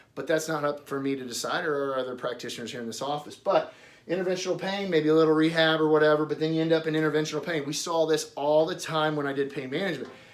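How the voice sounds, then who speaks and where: A man talks at a very fast pace in a fairly high pitch for a man, with audible room echo around him. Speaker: doctor giving patient education. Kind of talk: informal explanatory talk at a whiteboard.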